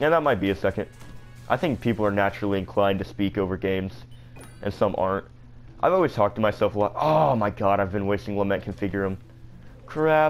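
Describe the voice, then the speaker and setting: Music plays behind a man speaking at a very fast pace. His intonation is lively. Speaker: gaming youtuber. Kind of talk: gameplay commentary. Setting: at home. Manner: halting, repeats words.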